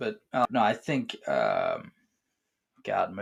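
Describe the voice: A man puts on a hoarse character voice. The sound is dry and close, with no echo.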